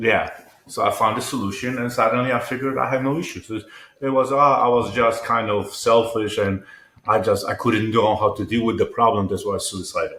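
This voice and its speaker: A man at a fairly quick pace with a Polish accent. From Poland. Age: 50s. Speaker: entrepreneur and mental health advocate. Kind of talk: interview conversation. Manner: halting, repetitive.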